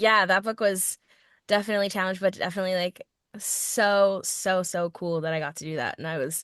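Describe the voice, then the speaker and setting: A woman with an American accent at a fairly quick pace, ordinary pitch variation and big swings in loudness, in a dry, close sound with no echo over a quiet background. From Virginia, Richmond. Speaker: voice and film actor. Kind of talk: casual chat interview. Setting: podcast. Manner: animated.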